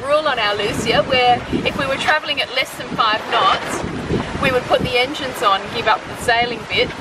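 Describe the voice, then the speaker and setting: A woman speaks at a fairly quick pace against loud background noise. The sound is dry with no echo. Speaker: sailing travel vlogger. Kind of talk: casual vlog chat. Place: boat. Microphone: phone near.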